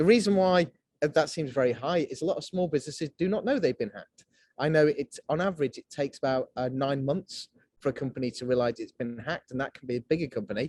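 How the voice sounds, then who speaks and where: A man talks at a very fast pace in a fairly high, somewhat breathy voice with lively intonation, and the sound is dry and close with no echo. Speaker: cyber security company director. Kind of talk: webinar presentation.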